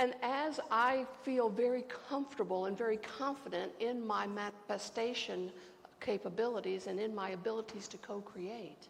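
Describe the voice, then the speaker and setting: With an American accent and vocal fry, a woman speaks at a fairly high pitch and moderate pace with ordinary pitch variation, audible room echo around her. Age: 60s. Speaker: pastor. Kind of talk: sermon. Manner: conversational.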